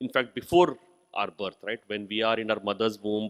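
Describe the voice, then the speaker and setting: Ordinary pitch variation, with an Indian accent. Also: man. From India, Hindi-speaking. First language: Hindi. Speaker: university vice chancellor. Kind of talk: inaugural speech. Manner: halting, with frequent fillers.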